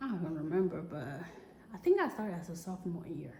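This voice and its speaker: A woman with a strong West African accent speaks at medium pitch with ordinary pitch variation, amid audible room echo and noticeable background noise. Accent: West African, heavy. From Togo, West Africa. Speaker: vlogger. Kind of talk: casual personal vlog. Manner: halting, many fillers.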